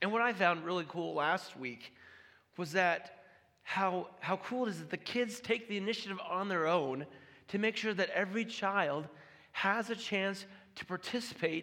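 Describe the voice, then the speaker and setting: A man with a high voice speaks at a moderate pace, raised and projected. His tone is bright and sharp, with ordinary pitch variation. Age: 30s. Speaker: pastor. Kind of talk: sermon. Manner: halting.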